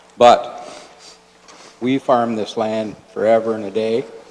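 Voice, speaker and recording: With a Canadian accent, a man speaks very slowly in a fairly low, monotone, flat voice over noticeable background noise. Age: 60s. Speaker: farmer. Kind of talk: public comment at council meeting. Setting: council chamber. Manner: halting.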